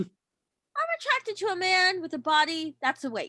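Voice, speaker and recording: Squeaky and extremely high-pitched, a woman's put-on character voice swings very widely in pitch at a moderate pace, with a dry, close sound and no echo. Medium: stage play. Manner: sarcastic.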